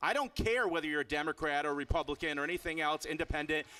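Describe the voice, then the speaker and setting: Animated and fairly quick, a man speaks with an American accent, lively intonation, and a bright, sharp tone. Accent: Boston accent, shows at times. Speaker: activist and speaker at a political rally. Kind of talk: rally speech. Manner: animated, emphatic.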